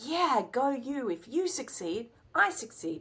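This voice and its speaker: A woman speaks with an Australian accent and lively intonation. Her tone is bright and sharp. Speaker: writer, director, actor. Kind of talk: interview answer.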